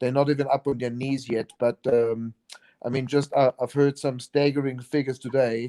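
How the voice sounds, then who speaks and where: With a South African accent, the voice is monotone and flat at a moderate pace, dark and mellow in tone, in a dry, close sound with no echo. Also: man, medium pitch for a man. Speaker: chef and event organizer. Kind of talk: casual interview chat. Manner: halting, many repetitions.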